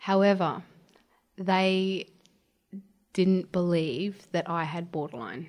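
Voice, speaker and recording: Calm in tone, a speaker with an Australian accent talks at a very slow pace with ordinary pitch variation and long, frequent pauses. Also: woman, fairly low pitch for a woman. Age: 20s. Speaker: childcare worker, former mechanic. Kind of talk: interview about mental health. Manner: soft-spoken.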